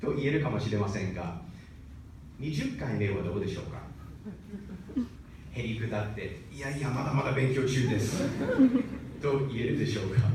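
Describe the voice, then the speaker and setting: A man's lively intonation amid noticeable background noise. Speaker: speech contest participant. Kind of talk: speech contest address. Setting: stage, live audience.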